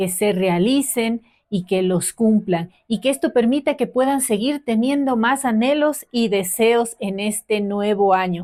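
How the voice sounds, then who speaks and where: With hardly any pauses, a woman talks at a fairly slow pace in a dark, mellow tone, her pitch fairly high with ordinary variation, on a very clean recording with a silent background. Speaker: podcast host. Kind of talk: show introduction.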